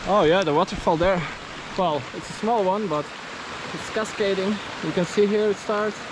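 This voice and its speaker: At a moderate pace and with fairly even intonation, a man with a high voice speaks in long, frequent pauses, the sound dry with no echo and the background noise noticeable. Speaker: travel vlogger. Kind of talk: vlog narration. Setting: outdoors. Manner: hesitant with many fillers. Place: rain. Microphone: phone near.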